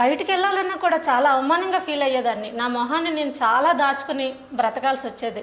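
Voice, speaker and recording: A woman speaks at a high pitch with ordinary pitch variation. Noticeable background noise sits behind her. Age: 30s. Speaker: stock exchange office worker. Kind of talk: patient testimonial.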